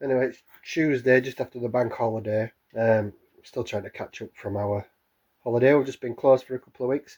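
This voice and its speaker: In a very clean recording with a silent background, a man at a medium pitch talks at a very fast pace with fairly even intonation. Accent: British. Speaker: drum maker. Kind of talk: casual workshop talk to camera. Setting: workshop, camera microphone.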